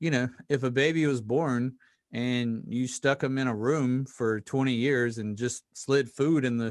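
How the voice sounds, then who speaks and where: A man with a Southern US accent, medium pitch, a fairly slow pace, and fairly even intonation. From US South (Mississippi). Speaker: podcast host. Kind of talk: casual interview chat.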